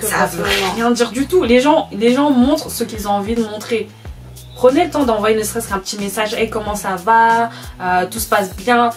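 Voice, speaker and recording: Music plays in the background as a woman speaks. Her pitch is fairly high and her pace moderate. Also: ordinary pitch variation. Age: 20s. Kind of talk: casual talk to camera.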